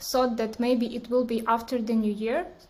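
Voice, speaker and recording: A woman with a Ukrainian accent speaks at a high pitch, and the room echo is audible. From Ukraine, Kyiv. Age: 20s. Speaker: war refugee. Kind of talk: interview testimony. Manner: halting.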